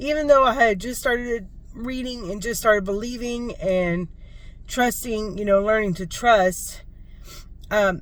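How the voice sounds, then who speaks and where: A woman speaks at a fairly slow pace with ordinary pitch variation. There is audible room echo. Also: fairly high pitch for a woman. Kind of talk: casual vlog testimony. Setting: in a parked car at school pickup. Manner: conversational with many fillers.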